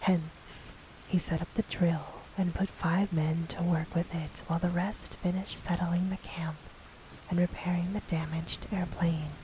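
Over noticeable background noise, the speaker uses a soothing tone at a fairly slow pace. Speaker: audiobook narrator. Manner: hushed, slow and soothing.

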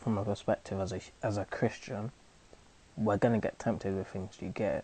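In a London accent, a man speaks at a fairly quick pace with a fairly low pitch and fairly even intonation. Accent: London multicultural youth English. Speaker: actor and spoken word artist. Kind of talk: casual conversation. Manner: conversational, filler-heavy, halting.

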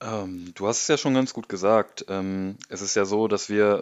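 A man is speaking. His pitch is fairly low. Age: 20s. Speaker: podcast co-host, football fan. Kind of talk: casual chat.

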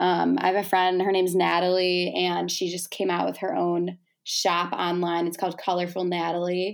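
On a very clean recording with a silent background, a woman speaks with a fairly low pitch. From Chicago suburbs, US Midwest. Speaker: college student and micro-influencer. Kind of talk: casual chat.

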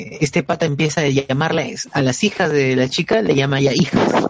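Somewhat breathy and fairly high, a man's voice moves at a fairly slow pace. His pitch varies in an ordinary way. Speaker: podcast host. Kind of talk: casual chat.

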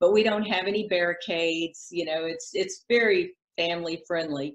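Speaking with a Southern US accent, a woman talks at a moderate pace with fairly low pitch and ordinary pitch variation. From South Carolina. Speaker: real estate broker. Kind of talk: casual interview chat.

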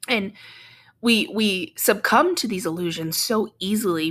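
A woman is speaking. Her pitch swings very widely. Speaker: podcast host and energy healing practitioner. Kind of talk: casual solo podcast monologue. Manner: conversational, many fillers.

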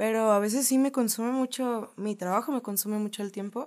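Heard in a very clean recording with a silent background, a woman speaks with a fairly high pitch. Her pitch varies in an ordinary way. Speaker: podcast co-host. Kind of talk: casual chat.

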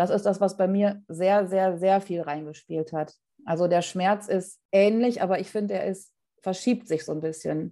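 A woman's voice carries a dark, mellow tone and fairly even intonation. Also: medium pitch for a woman, moderate pace. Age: 40s. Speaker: podcast guest sharing fertility story. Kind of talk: personal testimony in interview.

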